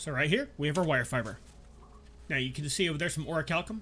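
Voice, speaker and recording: The speaker is a man with vocal fry. He talks fairly quickly. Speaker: game guide creator. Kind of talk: video game tutorial voiceover.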